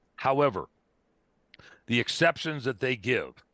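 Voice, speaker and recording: A man speaks with a bright, sharp tone. The sound is dry and close with no echo, over a quiet background. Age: 60s. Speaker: wildlife control specialist and hunting advocate. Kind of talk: podcast interview. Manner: animated.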